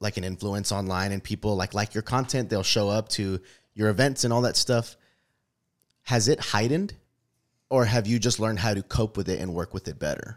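An unremarkable speaking voice with an American accent and fairly even intonation. The recording is very clean, with a silent background. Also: man. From US, urban neighborhood. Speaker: podcast co-host. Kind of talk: casual faith conversation.

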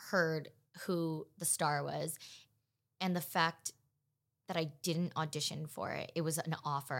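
A very clean recording with a silent background, voiced in an American accent. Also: woman. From Los Angeles, California. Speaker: actress. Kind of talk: casual chat.

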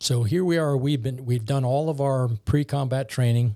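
Somewhat breathy, a man talks at medium pitch with a dark, mellow tone and fairly even intonation on a very clean recording with a silent background. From New Orleans, Louisiana. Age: 50s. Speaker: military colonel and project manager. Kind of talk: casual podcast interview.

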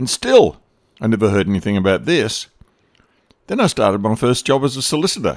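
A man with an Australian accent speaks fairly quickly at a medium pitch, his intonation lively. Long pauses break up his speech often. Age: 70s. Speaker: podcast host. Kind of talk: scripted narration.

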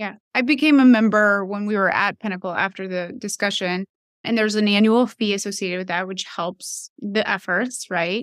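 An ordinary speaking voice at a moderate pace, with ordinary pitch variation and a dry, close sound with no echo. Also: woman, medium pitch for a woman, very clean recording, silent background. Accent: American. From US South. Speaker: podcast host and physician. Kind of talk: interview conversation.

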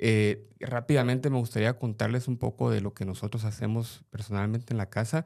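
With an unremarkable speaking voice, a man talks at a medium pitch and a fairly quick pace with hardly any pauses and fairly even intonation, on a very clean recording with a silent background. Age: 40s. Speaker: parent, digital safety speaker. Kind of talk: casual chat.

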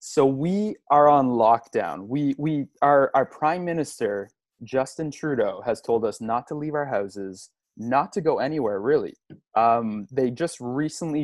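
The speaker has a plain, everyday voice with a Canadian accent. The pace is moderate and the background quiet. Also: man. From Montreal area, Canada. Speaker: podcast co-host, father. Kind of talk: casual chat.

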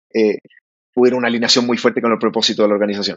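A man talks at medium pitch. The sound is dry and close, with no echo. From Chile, Santiago area. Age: 30s. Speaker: startup founder. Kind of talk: interview.

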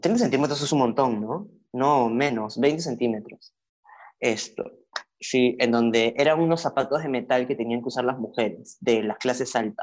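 Speaking at a moderate pace, a man uses an ordinary speaking voice with ordinary pitch variation. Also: medium pitch for a man. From Peru (Lima). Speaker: social media content creator. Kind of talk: casual interview conversation.

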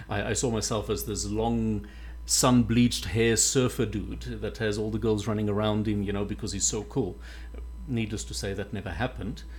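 In a space with audible room echo, a man speaks at a moderate pace. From South Africa, Mpumalanga (Witbank). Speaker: leadership coach and radio presenter. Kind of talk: casual radio interview chat.

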